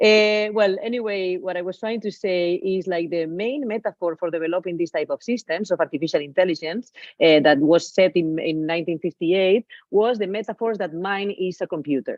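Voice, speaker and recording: A woman talks with a Spanish accent and ordinary pitch variation. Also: medium pitch for a woman, fairly quick pace. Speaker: digital artist. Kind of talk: lecture. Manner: halting.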